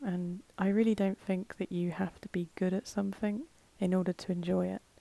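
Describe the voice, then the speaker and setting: The voice is calm, soft-spoken and dark, mellow in tone, with fairly even intonation at a moderate pace. The sound is dry and close with no echo. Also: woman, medium pitch for a woman. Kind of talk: casual talk to camera. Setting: voiceover recorded separately from the video. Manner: soft-spoken, calm.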